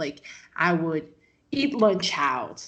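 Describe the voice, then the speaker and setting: With a Rio de Janeiro accent, a woman talks in a medium pitch. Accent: Rio de Janeiro Brazilian. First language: Portuguese. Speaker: MMA journalist. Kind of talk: interview. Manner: animated.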